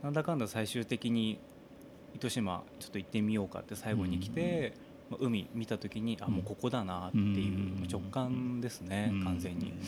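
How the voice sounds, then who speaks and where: This man has an ordinary speaking voice with a fairly low pitch. He talks at a moderate pace with ordinary pitch variation. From Japan, Saga Prefecture. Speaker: singer-songwriter. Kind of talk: casual chat.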